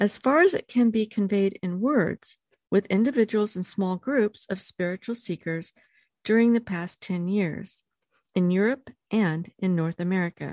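A plain, everyday voice moves at a fairly slow pace with ordinary pitch variation. The sound is dry and close with no echo, and the background is quiet. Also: woman, medium pitch for a woman. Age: 60s. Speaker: podcast host and life coach. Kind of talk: book study discussion and reading aloud.

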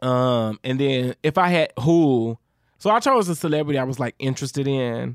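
Speech at a moderate pace carries an animated tone with ordinary pitch variation. The sound is dry and close with no echo, on a very clean recording with a silent background. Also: man, medium pitch for a man. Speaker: podcast co-host. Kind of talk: casual chat. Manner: loud.

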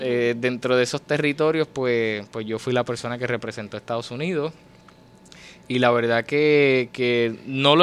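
This man has a plain, everyday voice at a medium pitch. He keeps a moderate pace, his intonation fairly even. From Puerto Rico, Fajardo. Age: 20s. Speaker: poet and writer. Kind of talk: interview.

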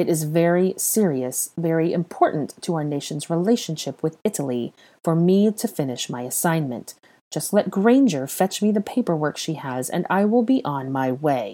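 In a put-on character voice of middle pitch, the speaker sounds strained at a moderate pace, on a very clean recording with a silent background. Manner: slow, controlled, strained calm.

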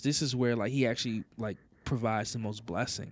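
A medium-pitched man with an American accent has an unremarkable speaking voice and ordinary pitch variation. He talks at a moderate pace on a very clean recording with a silent background. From US South. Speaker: church pastor. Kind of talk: casual chat.

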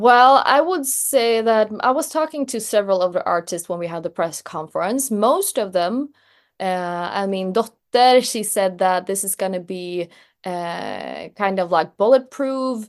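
A woman with a Swedish accent, medium-pitched, fairly slow, with lively intonation. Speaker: journalist. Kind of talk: interview.

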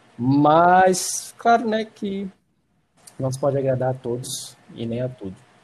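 Here a man speaks in a somewhat breathy voice. His pitch swings very widely. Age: 20s. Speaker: film student. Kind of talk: casual chat.

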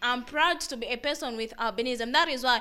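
This woman's voice is raised and projected. It carries a bright, sharp tone. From Zambia. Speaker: advocate for people with albinism. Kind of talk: interview.

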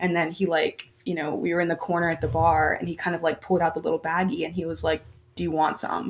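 Vocal fry marks this woman's fairly low voice. She talks very fast with fairly even intonation. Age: 20s. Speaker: university student. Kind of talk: casual chat.

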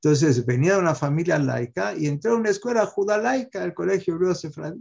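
A man's fairly high, dark, mellow voice at a fairly quick pace, full of very wide pitch swings. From Mexico. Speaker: rabbi and physician telling his life story. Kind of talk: testimony.

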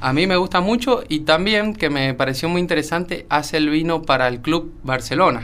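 Hardly pausing, a man with a fairly high pitch talks at a moderate pace in an unremarkable speaking voice with lively intonation. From Argentina, San Juan. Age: 20s. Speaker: young industrial engineer. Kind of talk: radio interview.

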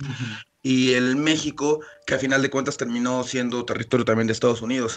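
Speaking at a fairly quick pace, a man keeps to a monotone, flat intonation. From Mexico City. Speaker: podcast co-host. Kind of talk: casual chat.

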